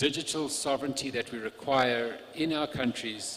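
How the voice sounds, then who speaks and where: A man's medium-pitched voice, with intonation that stays fairly level, proceeds at a moderate speed while clear background noise is heard. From South Africa. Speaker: telecom infrastructure executive. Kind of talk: panel discussion.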